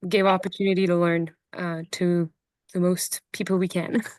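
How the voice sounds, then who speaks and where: Against a quiet background, a woman speaks with a Quebec accent. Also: dry, close sound with no echo. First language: French. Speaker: horse logger, chat host. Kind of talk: online interview. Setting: video call. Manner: halting, many fillers.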